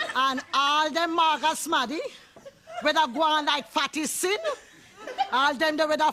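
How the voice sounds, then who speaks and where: A woman with a Jamaican accent uses a raised, projected voice, high in pitch with ordinary pitch variation. She speaks at a fairly slow pace over noticeable background noise. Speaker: poet. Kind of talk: poetry reading.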